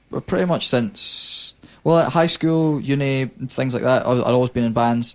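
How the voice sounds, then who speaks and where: Here a man speaks at medium pitch and a moderate pace. His pitch variation is ordinary. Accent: Scottish. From Scotland. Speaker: hip-hop artist. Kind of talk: casual chat. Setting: studio. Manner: halting.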